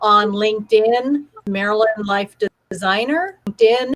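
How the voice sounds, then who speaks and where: In a dry, close sound with no echo, a woman speaks at a fairly high pitch with ordinary pitch variation. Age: 60s. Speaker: life coach and author. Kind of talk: live online panel talk.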